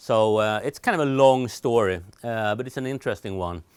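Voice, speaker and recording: Recorded very cleanly against a silent background, a man speaks with a Swedish accent. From Sweden. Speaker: telecom trainer. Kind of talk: recorded lecture. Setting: studio. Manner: hesitant, many fillers.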